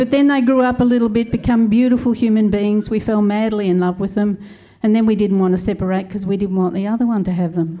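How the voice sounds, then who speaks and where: Talking very fast with an Australian accent, a woman uses a medium pitch, a dark, mellow tone and fairly even intonation. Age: 70s. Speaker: comedian. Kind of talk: stand-up. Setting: stage with audience.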